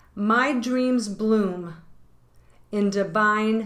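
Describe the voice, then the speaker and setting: Audible room echo fills the recording. A woman speaks at a medium pitch with fairly even intonation. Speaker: tarot reader and yoga teacher. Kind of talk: tarot reading and guided intention exercise.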